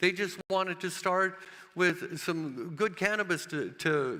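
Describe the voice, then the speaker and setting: A bright, sharp tone with an American accent and ordinary pitch variation. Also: man. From United States. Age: 70s. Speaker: cannabis grower and author. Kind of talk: conference talk. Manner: halting.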